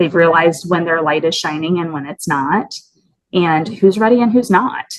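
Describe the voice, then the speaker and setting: A woman's fairly low voice shows ordinary pitch variation. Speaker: podcast co-host and business coach. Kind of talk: casual conversation. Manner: fast; animated.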